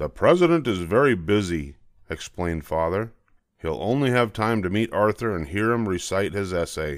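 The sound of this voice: A reading voice that sounds unforced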